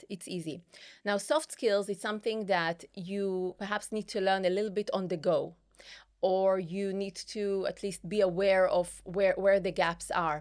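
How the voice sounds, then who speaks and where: In a very clean recording with a silent background, a woman with a non-native accent speaks at a fairly slow pace, medium in pitch and fairly even in intonation. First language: not English. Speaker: tech business executive. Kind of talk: interview. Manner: halting.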